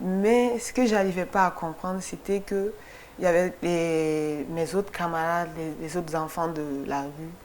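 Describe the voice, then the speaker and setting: The speaker is a woman with a fairly low pitch. She talks very slowly with ordinary pitch variation. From Mali (Kati, near Bamako). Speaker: photographer. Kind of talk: TV interview. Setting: TV studio. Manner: halting, many repetitions.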